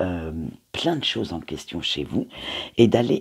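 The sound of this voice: A man talks with a husky, rough edge and vocal fry. His pitch moves in big swings.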